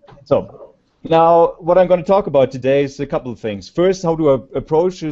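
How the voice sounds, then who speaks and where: Lively intonation with a German accent. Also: man. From Germany. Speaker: conference speaker, researcher. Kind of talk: conference presentation. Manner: halting. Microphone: slow connection, echo.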